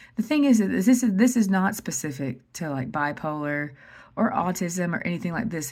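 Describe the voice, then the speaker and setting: In a very clean recording with a silent background, a woman's somewhat breathy voice sits at a fairly low pitch and moves in very wide pitch swings. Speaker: vlogger. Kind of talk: casual monologue. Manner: fast; animated.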